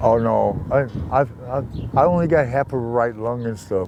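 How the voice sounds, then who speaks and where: A man speaks with an American accent. His pitch sits in the medium range. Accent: US regional working-class. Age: 60s. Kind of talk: casual interview. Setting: outdoors.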